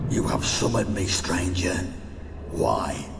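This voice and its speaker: A man speaks in a put-on character voice over loud background noise. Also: fairly slow pace. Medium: game stream.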